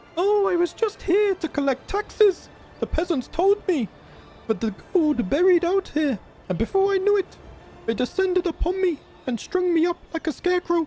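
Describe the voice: Over clear background noise, a woman uses a put-on character voice at an extremely high pitch and a moderate pace.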